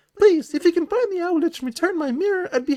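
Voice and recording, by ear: In a put-on character voice, a man pitches his speech extremely high.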